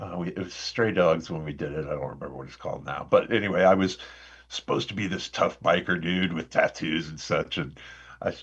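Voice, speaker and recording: With a Midwestern American accent, a man talks at a fairly quick pace in a very deep, low pitch, with ordinary pitch variation and big swings in loudness. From Indiana, US Midwest. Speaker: actor. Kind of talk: podcast interview.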